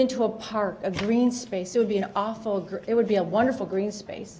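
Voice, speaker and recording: A woman with a fairly high pitch and ordinary pitch variation is heard over noticeable background noise, with audible room echo. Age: 60s. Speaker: resident speaking at public comment. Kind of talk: public comment at council meeting. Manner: halting.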